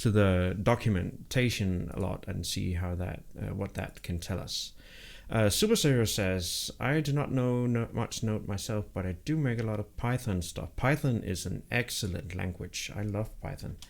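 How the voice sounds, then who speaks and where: In a very clean recording with a silent background, a man speaks at a moderate pace with hardly any pauses. His fairly low pitch shows ordinary variation, in a Danish accent. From Denmark. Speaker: programming livestreamer. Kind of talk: live coding stream chat. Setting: live stream. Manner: halting, many fillers and repetitions.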